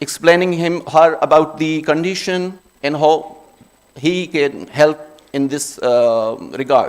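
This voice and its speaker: A man with a Pashto accent speaks at a very slow pace. His pitch is fairly high, with ordinary variation. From Khyber Pakhtunkhwa, Pakistan. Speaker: optometry speaker. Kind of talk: conference presentation.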